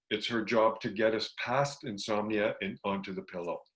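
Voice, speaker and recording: A man with a plain, everyday voice talks at a moderate pace and medium pitch. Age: 60s. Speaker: health retreat program director. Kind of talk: educational talk.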